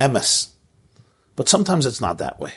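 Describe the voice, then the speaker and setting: His voice carries vocal fry and very wide pitch swings. The man has an American accent, and the background is quiet. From US Northeast, Brooklyn. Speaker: rabbi giving a class. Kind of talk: lecture. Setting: online video call class.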